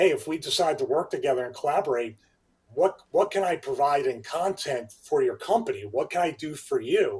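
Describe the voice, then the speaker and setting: With a slight Philadelphia accent, a man speaks at a fairly quick pace. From Philadelphia area (Delaware County), US. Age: 50s. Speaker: fitness trainer, YouTuber and former pro wrestler. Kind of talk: casual interview chat.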